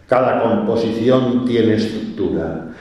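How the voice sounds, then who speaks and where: A man speaks amid audible room echo and noticeable background noise. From Spain, Valencia. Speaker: poet. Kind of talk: poetry reading.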